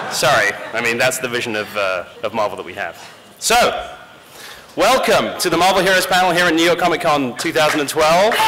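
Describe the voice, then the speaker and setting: A man's high-pitched voice at a fairly quick pace with very wide pitch swings, audible room echo and noticeable background noise. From rural England. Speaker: game company community director, panel host. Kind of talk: convention panel presentation. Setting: stage with audience.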